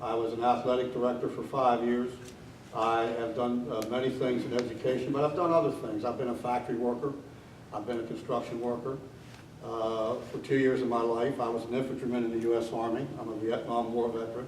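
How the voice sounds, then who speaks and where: Delivered at a fairly quick pace with flat, monotone intonation, the speech carries audible room echo and noticeable background noise. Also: man, medium pitch for a man. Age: 70s. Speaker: election candidate, retired teacher, war veteran. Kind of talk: candidate forum speech. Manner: frequent filler 'uh' hesitations.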